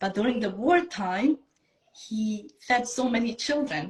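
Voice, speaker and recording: A somewhat breathy voice in a Bosnian accent, with ordinary pitch variation. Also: woman. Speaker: self-love coach. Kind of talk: interview, personal story.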